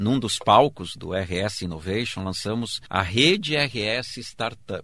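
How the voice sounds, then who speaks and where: The man's voice sits at a medium pitch and has a bright, sharp tone. The background is silent, and the recording very clean. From southern Brazil, Rio Grande do Sul interior (Erechim). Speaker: state secretary of innovation, professor. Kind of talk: interview.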